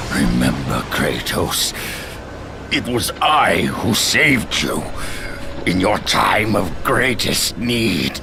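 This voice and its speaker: Doing a put-on character voice, a man speaks very slowly at a fairly low pitch over loud background noise. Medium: machinima. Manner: menacing, booming.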